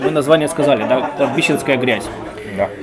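Over crowd noise and audible room echo, a man speaks at a fairly high pitch with ordinary pitch variation. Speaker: podcast co-host. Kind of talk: casual chat. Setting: pub. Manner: quiet.

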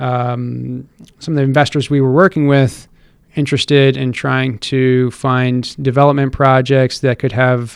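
A man with a normal speaking voice, medium in pitch, at a moderate pace with fairly even intonation. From Connecticut, Stamford. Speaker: mayoral candidate and real estate investor. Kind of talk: interview.

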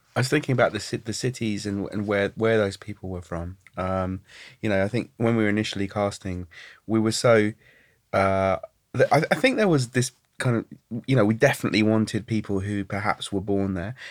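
A man speaks in an unremarkable speaking voice, fairly low in pitch with fairly even intonation. The recording is very clean, with a silent background. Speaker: participatory artist and dialogue director. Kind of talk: casual chat.

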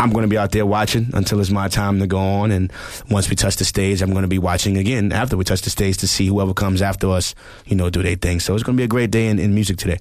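A man's very fast, monotone, flat delivery in a New York accent, with noticeable background noise. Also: fairly low pitch for a man, very even loudness. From New York, the Bronx. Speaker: music producer and drummer. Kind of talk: casual chat. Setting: studio.

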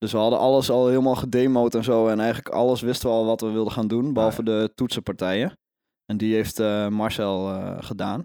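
Talking at a very fast pace, a man with a dark, mellow tone and fairly even intonation is heard on a very clean recording with a silent background. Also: medium pitch for a man. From Netherlands, Overijssel. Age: 20s. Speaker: folk singer-songwriter. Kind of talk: casual interview. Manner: halting.

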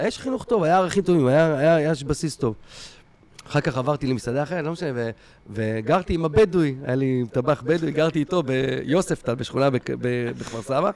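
This man has a plain, everyday voice with a fairly high pitch. He speaks at a moderate pace with ordinary pitch variation. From Israel. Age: 40s. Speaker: stand-up comedian. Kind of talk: casual chat.

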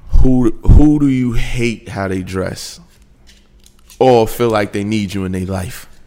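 At a very slow pace, a man with an American accent speaks at a medium pitch with ordinary pitch variation and big swings in loudness, with noticeable background noise. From New York. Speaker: podcast host. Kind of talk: casual chat.

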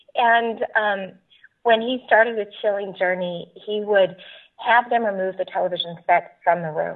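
Speaking at a moderate pace, a woman uses a normal speaking voice with medium pitch and fairly even intonation. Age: 40s. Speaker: author and conference speaker. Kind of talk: interview about faith and recovery.

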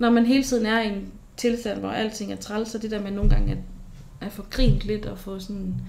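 A woman with a fairly high voice speaks at a moderate pace and fairly even intonation. Audible room echo surrounds her. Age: 20s. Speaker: university student sharing experience of psychiatric hospitalization. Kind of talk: personal testimony in interview. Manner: hesitant, many fillers.

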